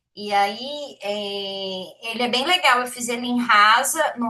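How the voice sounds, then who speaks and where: In a Minas Gerais accent, a woman speaks at a high pitch with a bright, sharp tone. Her pitch varies in an ordinary way. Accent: Brazilian Portuguese, mineiro. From Minas Gerais, Brazil (Belo Horizonte). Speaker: programmer, study group host. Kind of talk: casual chat. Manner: animated.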